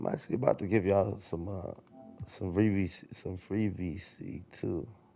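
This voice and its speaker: Over music in the background, a man speaks with a very deep, low pitch, ordinary pitch variation and a moderate pace. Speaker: gaming streamer. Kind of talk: live stream commentary. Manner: energetic.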